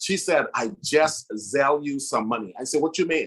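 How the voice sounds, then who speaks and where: This man talks at a fairly high pitch and a moderate pace in an ordinary speaking voice. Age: 40s. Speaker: motivational speaker. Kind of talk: motivational speech.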